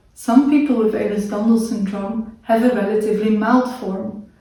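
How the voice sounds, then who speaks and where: Delivered at a moderate pace in a flat monotone, the voice carries audible room echo. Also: woman. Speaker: video creator with a chronic illness. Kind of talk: educational talk to camera.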